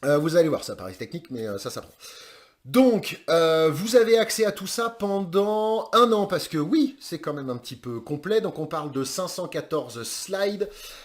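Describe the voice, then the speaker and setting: This is a man with a high pitch. His voice has very wide pitch swings and big shifts in loudness. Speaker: online course trainer in recruitment sourcing. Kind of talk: course introduction. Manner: fast; casual, with many hesitations.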